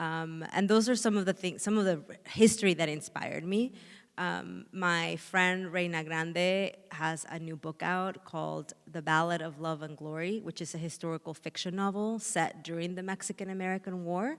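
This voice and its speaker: A woman with a slight Spanish accent talks at a moderate pace in a fairly low voice. Her intonation stays fairly even. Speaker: author. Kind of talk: panel conversation. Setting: stage with audience.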